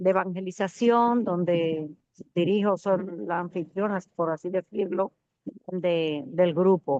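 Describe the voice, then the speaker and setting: A woman's medium-pitched voice at a very slow pace. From Dominican Republic. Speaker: student. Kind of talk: self-introduction.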